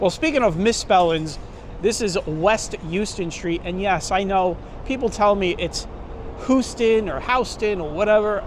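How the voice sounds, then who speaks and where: Noticeable background noise sits behind a man with a Brooklyn accent who talks at a fairly slow pace in a high pitch, with ordinary pitch variation. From New York City, Brooklyn. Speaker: walking tour vlogger. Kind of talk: walking tour commentary. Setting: outdoors, city streets. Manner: casual, conversational.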